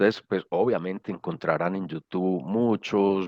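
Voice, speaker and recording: In a paisa accent, a man speaks with a very deep, low pitch, fairly even intonation and a moderate pace. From Colombia, Medellín (paisa). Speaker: social innovation speaker. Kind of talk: lecture. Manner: hesitant, many fillers.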